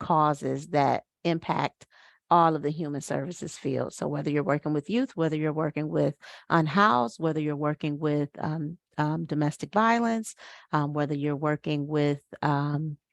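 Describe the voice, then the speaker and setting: A woman speaks with a very deep, low pitch and fairly even intonation. The background is quiet, and the sound is dry and close with no echo. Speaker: nonprofit executive director, event chair. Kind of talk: information session presentation. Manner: many filler words.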